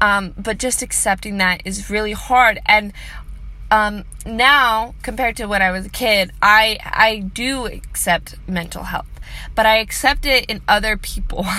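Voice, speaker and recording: A woman's nervous, bright, sharp tone with vocal fry, fairly even intonation and a fairly slow pace. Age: 20s. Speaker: vlogger sharing personal mental health story. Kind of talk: personal monologue. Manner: nervous laughter; hesitant, many fillers.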